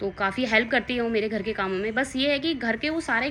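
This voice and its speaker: Here a woman talks at a moderate pace. Her pitch varies in an ordinary way. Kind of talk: casual talk to camera. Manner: slightly nervous, hesitant.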